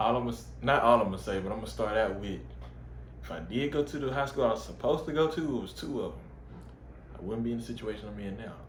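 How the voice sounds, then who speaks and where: The man's speech comes very rapidly. An audible echo from the room surrounds it. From Texas, Waco. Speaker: college football player. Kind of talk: casual interview.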